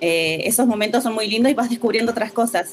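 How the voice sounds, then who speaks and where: Ordinary pitch variation and a fairly quick pace come through noticeable background noise. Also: woman. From Bariloche, Patagonia, Argentina. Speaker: visual artist and muralist. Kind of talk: interview. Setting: video call.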